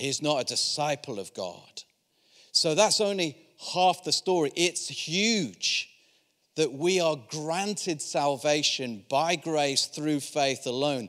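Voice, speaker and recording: Speaking at a very slow pace, a man with a Yorkshire accent uses a fairly high pitch and lively intonation. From Yorkshire, northern England. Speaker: visiting preacher from a charity. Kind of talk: sermon. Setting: church service with congregation.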